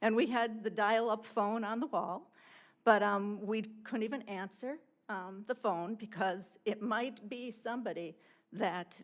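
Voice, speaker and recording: A woman's fairly high voice with ordinary pitch variation, a normal speaking voice. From Wisconsin, Port Washington. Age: 60s. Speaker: resident giving public comment. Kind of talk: public comment at council meeting.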